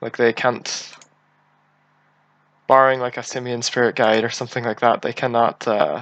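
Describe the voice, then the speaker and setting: In a Northern Irish accent, a man speaks in a monotone, flat intonation, leaving long, frequent pauses. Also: medium pitch for a man, moderate pace. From Northern Ireland. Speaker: game streamer. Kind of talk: live gameplay commentary. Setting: live stream.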